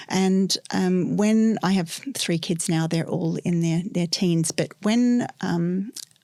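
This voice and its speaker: Recorded very cleanly against a silent background, a woman speaks with a dark, mellow tone at a fairly low pitch and ordinary pitch variation. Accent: Australian. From Australia. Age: 50s. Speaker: sex educator. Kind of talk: podcast interview. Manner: hesitant, many filler ums.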